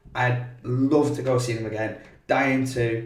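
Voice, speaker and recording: A man with a British accent speaks at medium pitch. Room echo is audible. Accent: noticeable regional British. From Britain. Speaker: podcast co-host, former summer camp sports coach. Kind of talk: casual chat.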